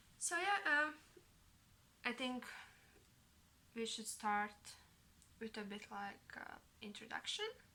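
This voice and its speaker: A woman with a fairly high pitch and ordinary pitch variation speaks at a fairly slow pace, with long, frequent pauses. Noticeable background noise runs behind her. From Latvia. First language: Latvian. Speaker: knitting vlogger. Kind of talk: casual vlog monologue. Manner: halting, many fillers.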